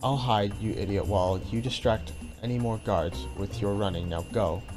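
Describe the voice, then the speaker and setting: A man uses a put-on character voice at a fairly low pitch and a moderate pace, with hissing and loud music in the background. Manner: hissing, urgent.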